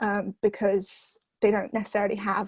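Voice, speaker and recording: Her fairly high, somewhat breathy voice moves at a moderate pace as the woman speaks. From southern England (Oxford), moved from France at about nine. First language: French. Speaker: university student. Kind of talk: interview. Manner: hesitant, many fillers and restarts.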